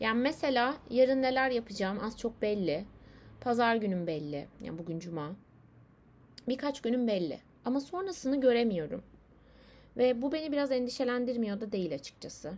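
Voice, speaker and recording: Very wide pitch swings mark the speech of a woman with a fairly high pitch. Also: moderate pace. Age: 20s. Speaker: podcaster. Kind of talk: personal monologue. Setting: alone at home, late at night. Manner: hesitant, many fillers. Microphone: laptop microphone.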